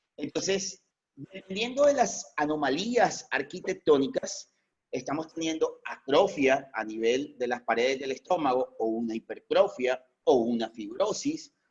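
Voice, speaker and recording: Fairly high male voice with very wide pitch swings, at a fairly slow pace. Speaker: veterinarian lecturer. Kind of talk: lecture. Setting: online video conference.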